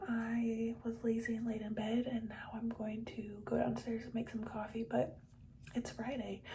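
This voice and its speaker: A woman's fairly high voice at a moderate pace, with audible room echo and noticeable background noise. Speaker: teacher and vlogger. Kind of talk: casual vlog narration. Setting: outdoors by car; at home. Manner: whispering.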